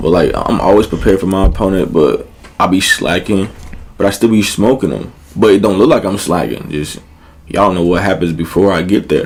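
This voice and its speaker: Background noise is noticeable as a man speaks at a fairly quick pace. His pitch is very deep and low. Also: ordinary pitch variation. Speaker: battle rapper. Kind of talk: casual chat. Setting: studio.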